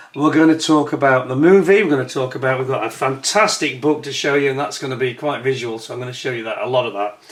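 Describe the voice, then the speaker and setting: With noticeable background noise, a man at a medium pitch talks at a very fast pace with hardly any pauses. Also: ordinary pitch variation. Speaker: history and modelling YouTuber. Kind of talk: casual historical talk to camera. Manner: hesitant, many fillers.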